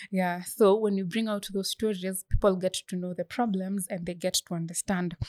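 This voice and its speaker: The speech runs at a moderate pace with hardly any pauses, in a monotone, flat intonation. The sound is dry and close, with no echo. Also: woman, medium pitch for a woman. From Kenya, Bomet County. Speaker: student author and menstrual health advocate. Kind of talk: interview.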